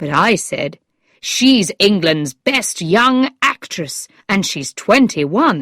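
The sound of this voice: An unforced reading voice with lively intonation, set against a quiet background.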